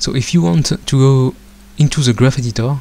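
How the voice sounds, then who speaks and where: A man with a non-native accent speaks at a fairly quick pace in a somewhat breathy voice. His pitch sits in the medium range, with a dark, mellow tone and ordinary pitch variation. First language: not English. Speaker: software tutorial creator. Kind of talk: tutorial. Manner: hesitant, frequent filler sounds.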